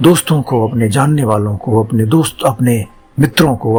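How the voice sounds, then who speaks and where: A man's voice shows ordinary pitch variation while music plays in the background. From Bihar, India. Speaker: actor; voice artist. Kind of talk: guided meditation. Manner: slow, calm.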